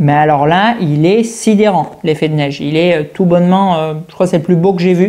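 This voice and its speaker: A woman speaks with a fairly low pitch and a dark, mellow tone. Her pace is moderate and her pitch variation ordinary. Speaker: collectibles reviewer. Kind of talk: product review. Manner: animated.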